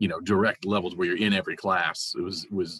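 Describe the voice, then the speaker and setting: A very deep, low-pitched man's voice, loud, with a bright, sharp tone, a fairly quick pace and a dry, close sound with no echo. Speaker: librarian. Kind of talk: online conference presentation. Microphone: sounds far from the mic.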